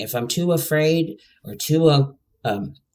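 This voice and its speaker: With ordinary pitch variation, this man talks very slowly. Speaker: podcast host. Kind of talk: solo podcast monologue. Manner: halting.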